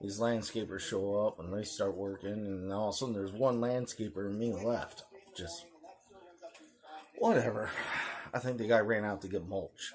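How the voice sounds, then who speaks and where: A quiet man speaks at a fairly low pitch with fairly even intonation and a moderate pace. Long, frequent pauses break up his speech, and noticeable background noise is present. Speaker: knife channel host. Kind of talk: casual vlog talk.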